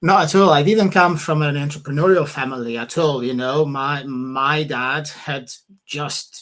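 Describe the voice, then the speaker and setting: A man with a Portuguese accent speaks at a fairly slow pace. His pitch is fairly high, with ordinary variation. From Portugal. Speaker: property investor and author. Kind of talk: casual interview. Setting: livestream.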